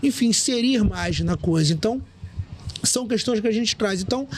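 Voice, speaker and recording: A man talks with lively intonation while noticeable background noise carries on behind him. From Rio de Janeiro. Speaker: DJ, journalist and master of ceremonies. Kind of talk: podcast interview answer.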